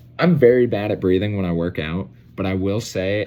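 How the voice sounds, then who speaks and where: The speaker has an unremarkable speaking voice, lively intonation and a fairly quick pace. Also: man. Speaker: college student. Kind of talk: class presentation. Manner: casual, filler-heavy.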